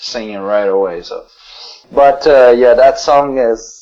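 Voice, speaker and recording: Here a man speaks in a Quebec accent at a fairly high pitch. His pace is moderate and his intonation lively. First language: French. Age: 40s. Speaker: metal band vocalist. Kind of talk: interview. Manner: halting.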